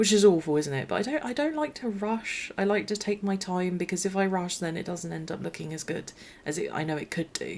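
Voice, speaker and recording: A woman talks quietly at a fairly quick pace with hardly any pauses. Her medium-pitched voice has lively intonation. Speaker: gaming YouTuber. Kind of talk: gameplay commentary voiceover. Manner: quiet, low energy; hesitant, many fillers and restarts.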